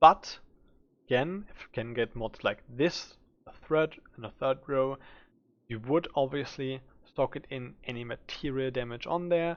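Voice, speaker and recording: The speech comes at a moderate pace. It carries a German accent. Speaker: gaming streamer. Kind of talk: game build tutorial. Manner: casual with filler words.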